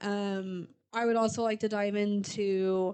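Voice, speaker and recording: Against a quiet background, a woman speaks in an animated tone. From US Midwest. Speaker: podcast co-host. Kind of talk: casual chat. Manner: fast.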